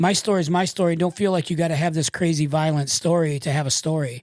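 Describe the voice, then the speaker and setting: A man with an American accent and a normal speaking voice, fairly high-pitched, talking at a fairly quick pace in a very clean recording with a silent background and a dry, close sound with no echo. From Michigan. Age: 60s. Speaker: tattoo artist and public speaker. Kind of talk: casual interview. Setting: studio.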